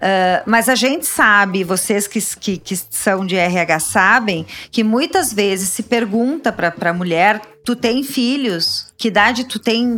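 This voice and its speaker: A woman speaks with a fairly high pitch at a fairly slow pace. Her tone is bright and sharp. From Rio Grande do Sul, Brazil (Caxias do Sul). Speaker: labor lawyer. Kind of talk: interview. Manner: halting.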